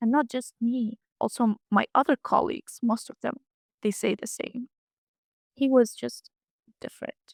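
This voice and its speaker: A woman with an Arabic accent and a high pitch speaks at a fairly slow pace with ordinary pitch variation and long, frequent pauses, in a dry, close sound with no echo. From Gaza Strip, Rafah and Gaza City. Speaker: student. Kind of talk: interview testimony. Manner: halting.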